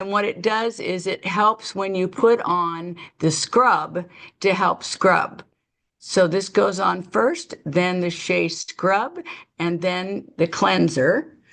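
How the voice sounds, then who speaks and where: At a very slow pace, a woman speaks with vocal fry at a medium pitch. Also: ordinary pitch variation. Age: 60s. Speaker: beauty consultant. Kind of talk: product demonstration. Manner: casual, chatty.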